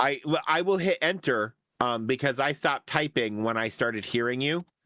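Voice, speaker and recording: In a very clean recording with a silent background and a dry, close sound with no echo, a man speaks at a moderate pace and very even loudness, with medium pitch and ordinary pitch variation. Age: 40s. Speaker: gaming streamer co-host. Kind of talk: casual chat. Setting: voice call over Discord. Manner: animated.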